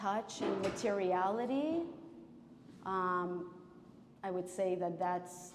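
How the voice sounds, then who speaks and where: Speaking at a very slow pace with long, frequent pauses, a woman holds a medium pitch and fairly even intonation amid audible room echo and noticeable background noise. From former Soviet Union. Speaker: painter. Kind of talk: public artist conversation. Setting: gallery with audience. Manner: halting, many fillers.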